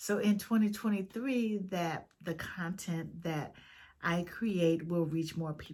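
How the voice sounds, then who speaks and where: A woman speaks at a fairly slow pace with a somewhat breathy voice. Her pitch is fairly low. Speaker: video blogger. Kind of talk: casual vlog talk to viewers. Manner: halting, many fillers.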